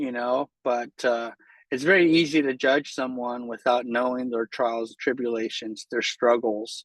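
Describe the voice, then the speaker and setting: A plain, everyday voice, this man speaks at a medium pitch and moderate pace with fairly even intonation, in a dry, close sound with no echo against a quiet background. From San Jose, California. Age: 40s. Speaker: art studio owner. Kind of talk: interview answer.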